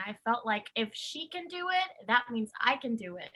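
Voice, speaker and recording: A woman's raised, projected voice, bright and sharp in tone, at a moderate pace. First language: Spanish. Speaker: actress. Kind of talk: panel conversation.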